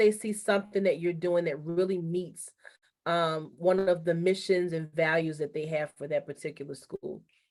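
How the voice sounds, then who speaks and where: At a moderate pace, a woman with a normal speaking voice speaks at a fairly low pitch with fairly even intonation. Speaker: high school college and career counselor. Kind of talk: online information session presentation.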